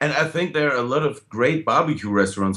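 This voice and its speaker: A man speaks in a German accent. His intonation is lively. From Germany. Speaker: blues band musician. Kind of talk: interview. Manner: halting.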